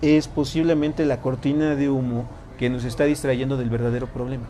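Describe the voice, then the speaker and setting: This man's voice sits fairly high in pitch, with fairly even intonation. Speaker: tarot and personal growth teacher. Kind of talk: lecture to a live group. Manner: fast.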